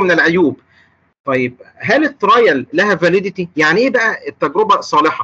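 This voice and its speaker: A man speaks in a raised, projected voice with a bright, sharp tone. His pitch swings very widely. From Egypt. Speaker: clinical pharmacist lecturer. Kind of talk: lecture. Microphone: video call.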